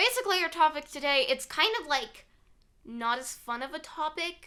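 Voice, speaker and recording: Raised and projected, this woman's high voice has a bright, sharp tone, very wide pitch swings and big swings in loudness at a moderate pace. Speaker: podcast host. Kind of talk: casual conversational.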